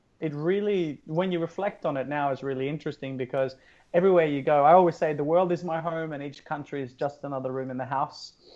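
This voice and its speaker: Very fast speech with an Australian accent. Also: man, fairly high pitch for a man. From southern Norway. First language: Norwegian. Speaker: yoga studio founder. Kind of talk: podcast interview. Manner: animated.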